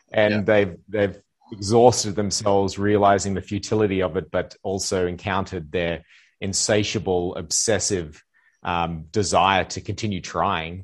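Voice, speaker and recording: A man's unremarkable speaking voice, fairly low in pitch, at a moderate pace with fairly even intonation over a quiet background. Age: 40s. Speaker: life coach. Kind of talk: casual chat.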